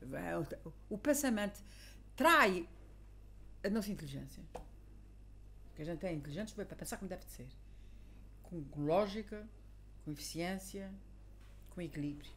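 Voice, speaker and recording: The speaker talks at a fairly slow pace, with long, frequent pauses and big swings in loudness. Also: woman. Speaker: teacher. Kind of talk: casual conversation.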